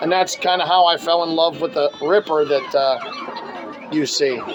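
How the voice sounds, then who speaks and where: Loud, enthusiastic speech at a moderate pace, with crowd noise in the background. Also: man. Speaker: BMX collector and video host. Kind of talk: casual show-and-tell video. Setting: home retro arcade room.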